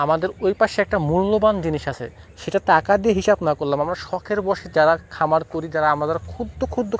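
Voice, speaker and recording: This man has a plain, everyday voice. His pitch is fairly high and his intonation lively. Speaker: cattle farmer and YouTuber. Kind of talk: vlog tutorial. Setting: at home farm.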